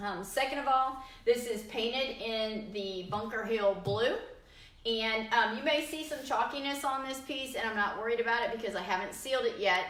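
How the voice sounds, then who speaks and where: A woman speaks with a fairly high pitch and ordinary pitch variation. The room echo is audible. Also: moderate pace. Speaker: furniture painter demonstrating products. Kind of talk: live stream tutorial. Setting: live video stream. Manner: hesitant fillers.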